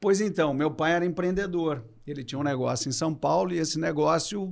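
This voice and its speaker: A man's normal speaking voice, fairly high-pitched, at a fairly quick pace with ordinary pitch variation. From southern Brazil, Porto Alegre. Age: 50s. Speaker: business executive. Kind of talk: podcast interview.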